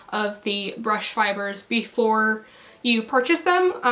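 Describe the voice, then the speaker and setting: Noticeable background noise runs under this woman's voice. She speaks at a moderate pace with ordinary pitch variation. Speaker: beauty YouTuber. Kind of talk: casual talk to camera.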